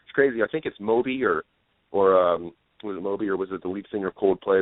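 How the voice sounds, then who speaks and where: With an ordinary speaking voice, a man talks at a fairly quick pace, with fairly low pitch and fairly even intonation. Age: 20s. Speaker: singer. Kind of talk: casual chat. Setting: radio show.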